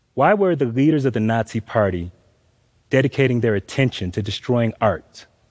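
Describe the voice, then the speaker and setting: With an American accent, a man in a plain, everyday voice talks at a moderate pace and medium pitch, his intonation lively, the sound dry and close with no echo. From US South, Atlanta, Georgia. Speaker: graphic novelist. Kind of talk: talk to a live audience.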